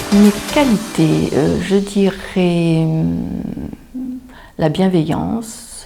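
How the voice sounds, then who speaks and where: Through noticeable background noise, a woman can be heard talking at a very slow pace. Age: 50s. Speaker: job seeker, former flight attendant. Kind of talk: self-presentation interview.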